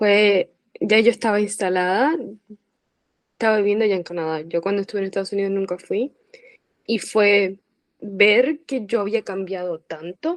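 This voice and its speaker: A woman at a moderate pace and medium pitch, with ordinary pitch variation, long, frequent pauses, and a dry, close sound with no echo. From Puerto Rico. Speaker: former language student, emigrant. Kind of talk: interview conversation.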